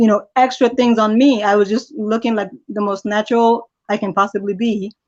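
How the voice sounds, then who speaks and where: A woman at a moderate pace, with a fairly high pitch and fairly even intonation. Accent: slight Nigerian. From Nigeria, raised in US from age 11. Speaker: interview guest. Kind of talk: interview.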